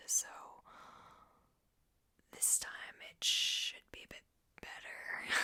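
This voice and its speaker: Very slowly, in a whisper, the words come out with long pauses breaking in often. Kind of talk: ASMR video, casual talk to camera. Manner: whispered, soft-spoken.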